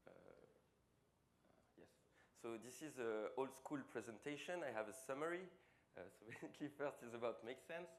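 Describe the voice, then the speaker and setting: With long, frequent pauses and big swings in loudness, a man talks at medium pitch with ordinary pitch variation in a room with audible echo. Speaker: social enterprise founder. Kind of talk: conference talk. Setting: stage with audience. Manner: fast.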